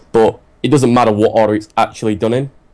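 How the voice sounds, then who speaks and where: A very fast pace with a dark, mellow tone, in an English accent. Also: man. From England, Manchester. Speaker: gamer, team leader interviewee. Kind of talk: casual interview chat. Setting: live stream podcast.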